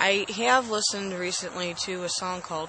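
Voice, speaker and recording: Amid noticeable background noise, a woman speaks fairly slowly at a medium pitch with ordinary pitch variation. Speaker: host's wife. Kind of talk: casual chat. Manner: soft-spoken.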